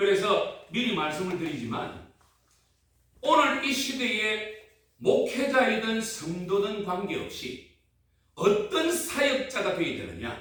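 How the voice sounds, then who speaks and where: A man's high-pitched voice, very slow and lively in intonation, with audible room echo. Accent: strong Gyeongsang. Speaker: pastor. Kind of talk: sermon. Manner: animated, call-and-response with audience.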